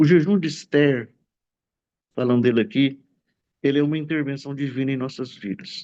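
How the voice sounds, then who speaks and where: This voice belongs to a man. Its pitch is medium. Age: 60s. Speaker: pastor. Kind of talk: testimony.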